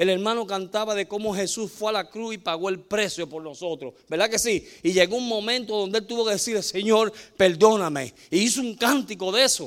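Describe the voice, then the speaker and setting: On a very clean recording with a silent background, a man with a high pitch and ordinary pitch variation speaks at a fairly quick pace. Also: hardly any pauses. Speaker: preacher. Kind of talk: sermon.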